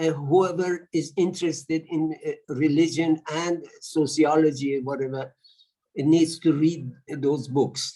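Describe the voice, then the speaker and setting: In a Persian accent, the speaker has a dark, mellow tone and a monotone, flat intonation at a fairly slow pace. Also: man, fairly high pitch for a man. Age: 70s. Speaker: audience participant. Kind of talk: panel discussion comment. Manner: halting.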